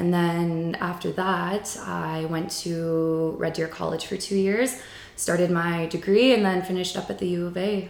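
The speech comes at a fairly slow pace with fairly even intonation. Noticeable background noise and audible room echo fill the recording. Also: woman, fairly low pitch for a woman. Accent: Albertan. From rural Alberta, Canada. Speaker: yoga instructor. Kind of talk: casual interview.

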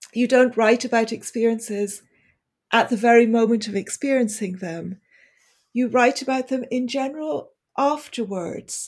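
Over a silent background in a very clean recording, a woman with an ordinary speaking voice talks at a moderate pace, her fairly high pitch showing ordinary variation. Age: 50s. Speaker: magazine editor and writer. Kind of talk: casual interview chat.

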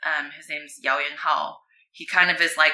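A woman speaks with an American accent. Her tone is bright and sharp. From US West Coast (Arcadia, California). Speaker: former pro surfer, surfboard business owner. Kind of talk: casual interview. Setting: at her home.

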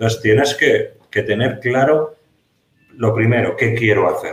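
This man sounds somewhat breathy, with a medium pitch. He speaks at a fairly slow pace with fairly even intonation. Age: 50s. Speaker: security consultant and trainer, former police officer. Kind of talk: interview. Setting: office, video call.

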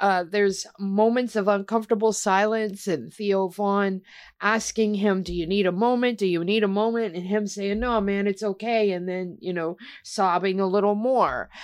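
Over a quiet background, a woman at medium pitch speaks in a plain, everyday voice, at a moderate pace and with fairly even intonation. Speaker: podcast host. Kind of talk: casual podcast chat about MMA news.

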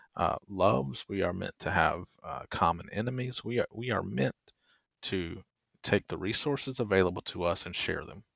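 At a moderate pace, a man talks with lively intonation and vocal fry. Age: 30s. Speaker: podcast host. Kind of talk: interview.

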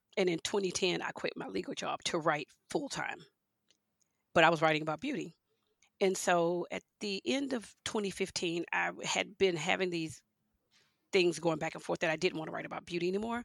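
In a dry, close recording with no echo, a speaker with an American accent talks at a fairly quick pace with ordinary pitch variation and long, frequent pauses. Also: woman, fairly low pitch for a woman. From Houston, Texas and Louisiana. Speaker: wine writer. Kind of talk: interview.

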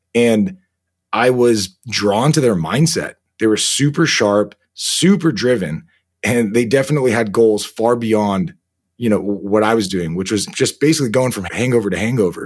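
An unremarkable speaking voice from a man with an American accent, medium pitch and lively intonation at a moderate pace. The recording is very clean, with a silent background. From United States. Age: 30s. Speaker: army veteran and author. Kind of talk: interview.

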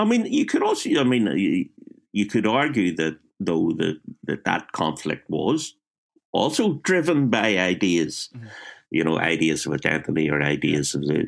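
A man with a Belfast accent at a moderate pace. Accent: Belfast Northern Irish. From Northern Ireland, West Belfast. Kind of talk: casual interview. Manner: halting, repetitive.

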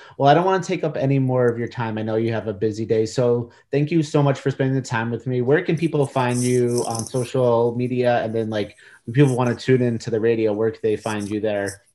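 A man speaks at a fairly quick pace in a plain, everyday voice, his pitch medium with ordinary variation. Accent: American. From New York. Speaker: podcast interviewer. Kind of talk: casual interview.

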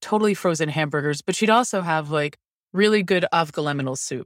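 In a very clean recording with a silent background and a dry, close sound with no echo, a woman with an American accent uses an ordinary speaking voice, with ordinary pitch variation at a moderate pace. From Maryland, Baltimore County. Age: 40s. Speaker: line cook and food writer. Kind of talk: casual chat.

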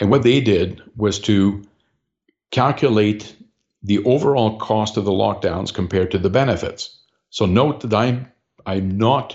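A plain, everyday voice from a man, fairly low in pitch, with ordinary pitch variation and a fairly slow pace. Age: 60s. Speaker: political party leader. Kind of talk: interview.

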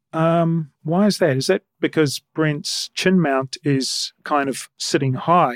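This man, with a New Zealand accent, speaks at a fairly slow pace and a fairly high pitch with ordinary pitch variation, in a dry, close recording with no echo. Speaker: podcast host. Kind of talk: podcast monologue and interview.

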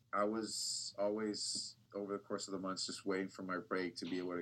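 A man with a plain, everyday voice and an American accent talks at a fairly quick pace in a fairly low pitch. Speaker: TV news reporter. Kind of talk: casual interview.

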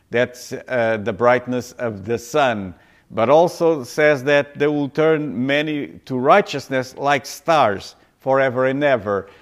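Speaking at a very slow pace, a man has a non-native accent. His pitch is medium, with ordinary variation. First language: not English. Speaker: pastor. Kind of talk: sermon. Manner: halting.

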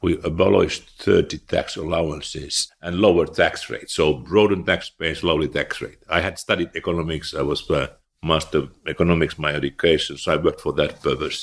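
A man with a Finnish accent talks at a fairly quick pace with hardly any pauses. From eastern Finland. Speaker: former finance minister and central banker. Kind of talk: interview.

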